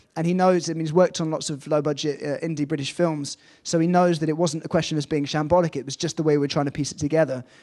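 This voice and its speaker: A man with an English accent talks very fast with hardly any pauses, against a quiet background. His fairly high voice has a dark, mellow tone and monotone, flat intonation. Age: young. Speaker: film director. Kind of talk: panel discussion. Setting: stage with audience.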